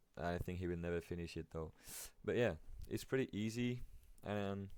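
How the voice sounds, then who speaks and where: With a non-native accent, a man speaks at a fairly quick pace on a very clean recording with a silent background. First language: not English. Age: 20s. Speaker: amateur trader, video creator. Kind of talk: tutorial. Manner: casual, hesitant with fillers.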